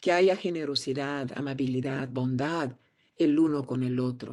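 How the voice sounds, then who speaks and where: The speaker, in a Portuguese accent, goes at a fairly slow pace on a very clean recording with a silent background. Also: woman. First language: Portuguese (speaking Spanish). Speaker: actress. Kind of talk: interview.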